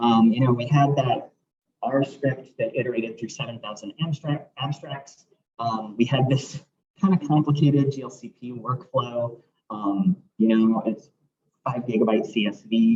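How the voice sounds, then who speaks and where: A somewhat breathy male voice, medium in pitch, with ordinary pitch variation and big swings in loudness. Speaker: research scientist giving seminar talk. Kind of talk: lecture. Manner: fast.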